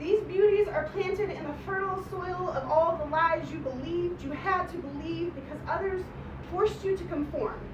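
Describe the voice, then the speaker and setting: Heard with audible room echo, a woman talks at an extremely high pitch with ordinary pitch variation. Her loudness swings widely. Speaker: poet. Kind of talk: poetry reading. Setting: stage with audience. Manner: fast.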